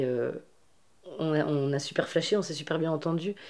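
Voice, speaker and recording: A woman's very deep, low-pitched voice, dark and mellow in tone, with fairly even intonation. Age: 30s. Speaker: feminist activist and festival organizer. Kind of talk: interview. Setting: at her home. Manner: halting, with many repetitions.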